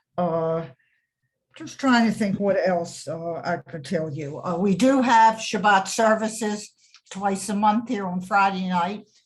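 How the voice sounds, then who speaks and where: A somewhat breathy woman at a medium pitch, with lively intonation and a very slow pace. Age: 80s+. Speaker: retirement community resident on a panel. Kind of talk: panel discussion on webinar. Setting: video call webinar.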